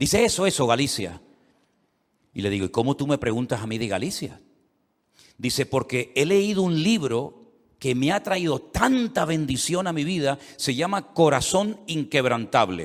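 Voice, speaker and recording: On a very clean recording with a silent background, a man with a fairly high pitch speaks at a fairly slow pace with very wide pitch swings. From Canary Islands, Spain. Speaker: pastor. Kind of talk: sermon. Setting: church service.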